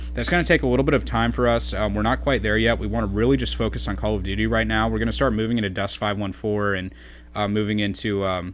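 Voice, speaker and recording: Audible room echo surrounds a man with a very deep, low pitch. He speaks at a very fast pace with very wide pitch swings. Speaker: gaming YouTuber and clan organizer. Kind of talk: gameplay commentary. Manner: halting, many fillers and stutters.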